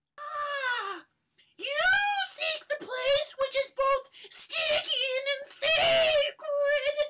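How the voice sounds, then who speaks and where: A female-sounding, put-on character voice shouts at an extremely high pitch. The pace is very slow. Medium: audio drama. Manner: loud, archaic, commanding.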